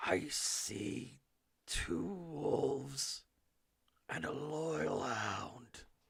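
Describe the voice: Growling in a put-on character voice, a man speaks at a fairly high pitch. His pace is very slow, with long, frequent pauses.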